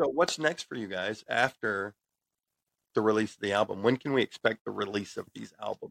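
A man with an American accent speaks at a fairly low pitch and a fairly quick pace, with vocal fry. His intonation is lively, with big swings in loudness, and the sound is dry and close with no echo. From United States. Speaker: podcast host. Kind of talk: interview.

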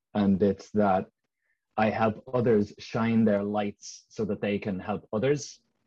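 A man with a dark, mellow tone speaks at a fairly low pitch, fairly slowly, with fairly even intonation. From Ireland, Dublin. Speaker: leadership and mindset coach. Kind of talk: casual interview.

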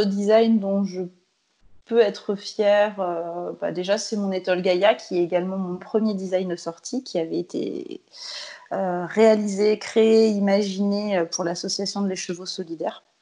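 In a very slow delivery, a woman speaks at a medium pitch. Her intonation is monotone and flat. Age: 30s. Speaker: knitwear designer. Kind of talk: interview.

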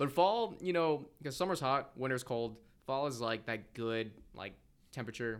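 This man has a plain, everyday voice at medium pitch. He speaks at a moderate pace with lively intonation. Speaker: podcast co-host, college student. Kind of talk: casual chat.

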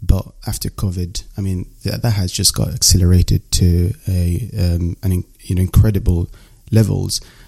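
Very deep and low in pitch, a man's voice has a dark, mellow tone and is somewhat breathy. He keeps a moderate pace with fairly even intonation. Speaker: podcast host. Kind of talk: casual interview chat. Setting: remote call.

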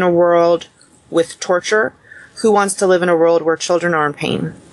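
A woman's fairly low voice with a Mid-Atlantic US accent, fairly even intonation and a moderate pace. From US Mid-Atlantic, Montgomery County, Maryland. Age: 30s. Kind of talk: podcast interview.

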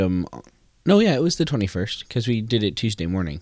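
Using an unremarkable speaking voice, a man with an American accent and a fairly low pitch talks at a fairly quick pace. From US Midwest (Wisconsin). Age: 20s. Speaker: podcast co-host, college student. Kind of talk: casual chat.

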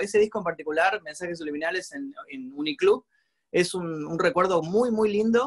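Dry and close with no echo, a man's high-pitched voice moves at a fairly quick pace with lively intonation. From Argentina. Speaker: youtuber and musician. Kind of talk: casual interview.

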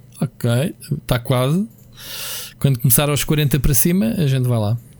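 A man with a medium pitch and a dark, mellow, somewhat breathy tone speaks with lively intonation at a moderate pace, pausing long and often. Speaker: video game podcast co-host. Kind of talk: casual chat.

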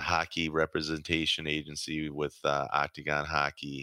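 In a very clean recording with a silent background and a dry, close sound with no echo, a man speaks with a very deep, low pitch and a bright, sharp tone. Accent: Upper Midwest. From southern Minnesota, Rochester. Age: 50s. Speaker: retired pro ice hockey player. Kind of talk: interview.

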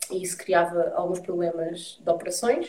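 With a European Portuguese accent, the speaker uses a dark, mellow tone at a moderate pace. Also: woman. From Portugal, Lisbon and Santarém. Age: 30s. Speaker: environmental activist. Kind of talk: interview. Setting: video live stream.

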